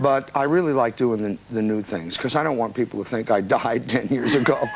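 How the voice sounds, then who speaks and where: Against noticeable background noise, a man with an American accent talks at a fairly quick pace in a medium pitch with ordinary pitch variation. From New Jersey, USA. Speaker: singer and songwriter. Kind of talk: interview answer.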